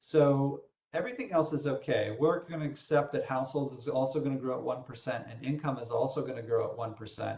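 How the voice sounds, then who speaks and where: A man with a fairly high voice talks at a very fast pace with hardly any pauses, sounding somewhat breathy and keeping a fairly even intonation. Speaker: software trainer. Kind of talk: tutorial.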